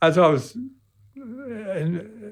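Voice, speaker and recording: A man with a British accent. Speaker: World War II veteran. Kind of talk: interview answer.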